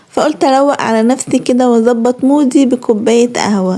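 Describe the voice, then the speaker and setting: The speaker is a woman with a high pitch. Her intonation is fairly even. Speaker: lifestyle vlogger. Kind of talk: vlog narration. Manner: casual, chatty.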